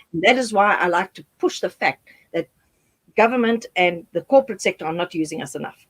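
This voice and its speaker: A woman with a plain, everyday voice at medium pitch talks at a fairly quick pace, her intonation lively and her loudness swinging widely, in a dry, close sound with no echo. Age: 60s. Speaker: HIV activist and speaker. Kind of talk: interview.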